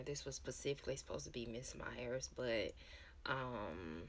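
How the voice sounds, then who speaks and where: A whispering woman in audible room echo. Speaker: product review vlogger. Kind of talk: product review. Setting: at home. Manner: casual, hesitant with ums.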